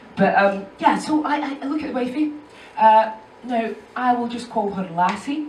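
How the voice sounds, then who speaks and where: A woman's high-pitched voice with lively intonation, plus audible room echo and noticeable background noise. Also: moderate pace. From Edinburgh, Scotland. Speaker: stand-up comedian. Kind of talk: stand-up. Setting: stage with audience.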